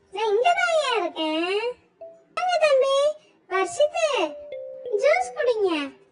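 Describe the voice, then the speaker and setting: A cartoonish, squeaky, female-sounding character voice at an extremely high pitch moves at a very slow pace with very wide pitch swings, music playing in the background. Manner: switches from servile to insolent.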